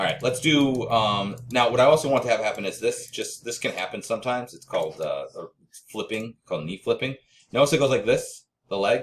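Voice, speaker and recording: A man's voice at a fairly quick pace, with big swings in loudness. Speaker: 3D animation instructor. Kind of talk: tutorial. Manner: fast; casual with many fillers.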